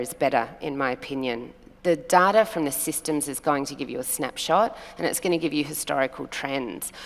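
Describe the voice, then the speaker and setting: Speaking at a fairly quick pace, a woman with an Australian accent has a very deep, low pitch and ordinary pitch variation. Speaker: hotel revenue management panelist. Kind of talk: panel discussion.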